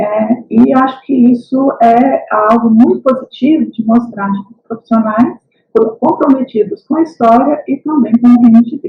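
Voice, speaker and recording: Speaking at a fairly slow pace, a woman uses a high pitch with ordinary variation. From Brazil, Minas Gerais. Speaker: historian and university lecturer. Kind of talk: lecture. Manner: hesitant, many fillers.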